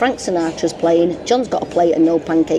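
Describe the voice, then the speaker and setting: Music plays behind a woman with a strong northern English accent. She talks fairly quickly, with a fairly low pitch and ordinary pitch variation. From northern England. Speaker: travel vlogger. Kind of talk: casual chat. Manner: animated.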